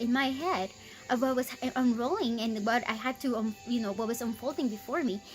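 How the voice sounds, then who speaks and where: Music plays in the background as a woman talks at a fairly quick pace. She has a high voice and an American accent. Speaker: faith vlogger. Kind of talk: casual testimony. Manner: hesitant, many fillers.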